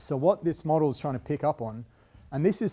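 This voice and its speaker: A man speaks at a moderate pace in a dark, mellow tone against a quiet background. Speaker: university lecturer. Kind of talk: lecture. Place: classroom.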